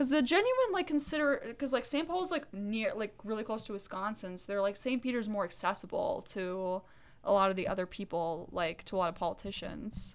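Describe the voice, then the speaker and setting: A woman with an American accent at a fairly quick pace and a fairly high pitch, with very wide pitch swings and hardly any pauses. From US South (Georgia). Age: 20s. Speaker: podcast co-host. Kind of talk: casual chat.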